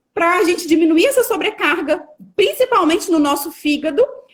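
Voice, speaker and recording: A woman's extremely high voice moves through very wide pitch swings. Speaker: nutritionist. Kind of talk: lecture.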